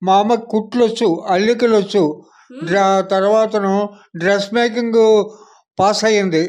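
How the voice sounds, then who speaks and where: This is a man with a high-pitched voice. His intonation stays fairly even. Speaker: retired panchayat officer. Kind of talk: interview answer.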